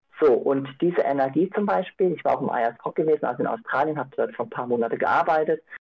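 A man at a very fast pace with hardly any pauses, fairly high in pitch and lively in intonation. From Austria, Innsbruck (Tyrol). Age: 30s. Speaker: participant. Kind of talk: group discussion. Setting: video call.

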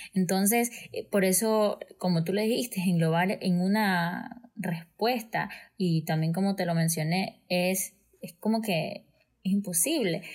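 A somewhat breathy woman at medium pitch, very slow pace and ordinary pitch variation. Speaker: guest. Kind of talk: testimony. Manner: animated.

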